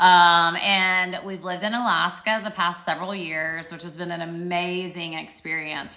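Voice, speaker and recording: In a Southern US accent, a woman speaks at a fairly low pitch with a bright, sharp tone, and audible room echo surrounds her. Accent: Southern drawl. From Arkansas, US South. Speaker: social media livestreamer, PhD student. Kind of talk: casual livestream Q&A. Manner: animated.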